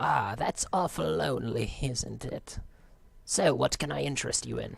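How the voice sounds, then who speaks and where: Speaking at a moderate pace, a man performs a put-on character voice. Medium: game stream. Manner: overly cheerful, polite.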